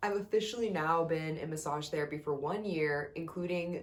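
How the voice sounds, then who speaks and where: At a moderate pace, a woman with a very deep, low pitch talks in an animated tone. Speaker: yoga instructor and massage therapist vlogger. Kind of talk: casual vlog. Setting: home room.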